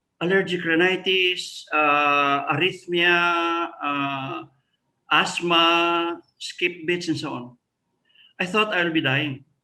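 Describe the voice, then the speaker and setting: His tone is bright and sharp, with a high pitch. The man speaks at a very slow pace. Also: long, frequent pauses. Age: 70s. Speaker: retired professor. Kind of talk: interview.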